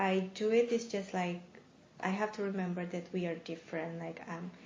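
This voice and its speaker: A woman's voice carries audible room echo. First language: Bahasa (Indonesian or Malay). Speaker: international graduate student. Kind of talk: interview. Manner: halting.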